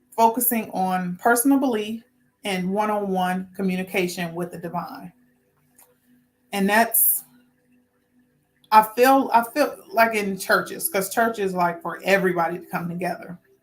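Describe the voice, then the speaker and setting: At a moderate pace and medium pitch, a woman speaks with ordinary pitch variation, big swings in loudness, and long, frequent pauses. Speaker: spiritual talk show host. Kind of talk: solo spiritual talk. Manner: halting, repetitive.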